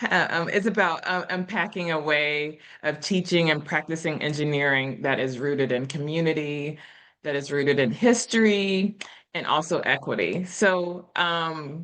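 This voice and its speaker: A woman's very deep, low voice with ordinary pitch variation, at a moderate pace against a quiet background. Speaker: engineering professor. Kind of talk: lecture. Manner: informal.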